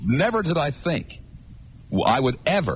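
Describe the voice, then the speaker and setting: A man's voice shows vocal fry and lively intonation. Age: 40s. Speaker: radio talk show host. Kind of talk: call-in talk radio. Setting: radio studio.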